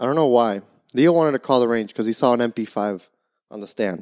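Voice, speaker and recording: At a fairly quick pace, a man speaks in a plain, everyday voice at medium pitch. The recording is very clean, with a silent background and a dry, close sound with no echo. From Florida. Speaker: podcast co-host. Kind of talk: casual chat.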